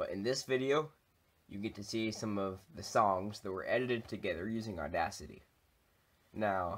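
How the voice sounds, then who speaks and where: Speaking fairly slowly, a man uses a fairly low pitch and lively intonation in an unremarkable speaking voice. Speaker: video creator. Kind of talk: casual vlog chat. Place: home room. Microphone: webcam.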